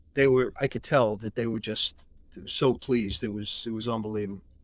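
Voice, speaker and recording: Pitch varies in an ordinary way as a man talks with a New York accent. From New York (Brooklyn). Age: 70s. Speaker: former prosecutor and attorney. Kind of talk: interview conversation. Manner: halting, many fillers and restarts.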